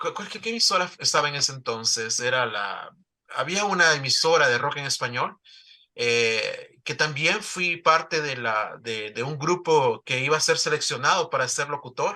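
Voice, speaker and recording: A man with a Salvadoran accent talks at a moderate pace in a bright, sharp tone, his pitch fairly high and his intonation lively. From El Salvador. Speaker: newspaper founder. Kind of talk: interview. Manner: halting, many fillers and repetitions.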